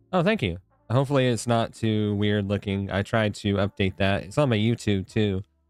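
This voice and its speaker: A man with fairly low pitch and fairly even intonation, very even loudness, a dry, close sound with no echo, and music in the background. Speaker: gaming streamer. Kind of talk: casual chat. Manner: fast.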